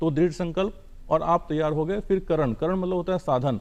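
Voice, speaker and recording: A man talks in a plain, everyday voice at a moderate tempo, his pitch fairly high. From Bihar, India. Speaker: civil servant. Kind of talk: TV interview.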